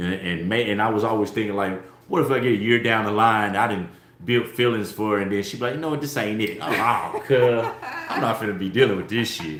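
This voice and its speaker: Through noticeable background noise and audible room echo, a man talks at a very fast pace with a fairly low pitch and ordinary pitch variation. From Oklahoma. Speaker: live streamer, co-host with partner. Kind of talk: casual chat.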